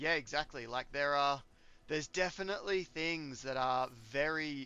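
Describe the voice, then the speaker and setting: With an Australian accent, the speaker goes at a moderate pace using ordinary pitch variation. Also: man. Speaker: gaming streamer. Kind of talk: casual chat while gaming. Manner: halting.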